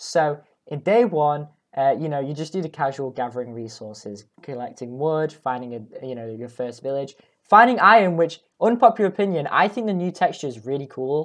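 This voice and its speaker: The voice moves at a fairly quick pace, with very wide pitch swings and big swings in loudness. The background stays quiet. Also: woman, very deep, low pitch for a woman. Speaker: gaming YouTuber. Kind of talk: game commentary voice-over. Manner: casual, joking.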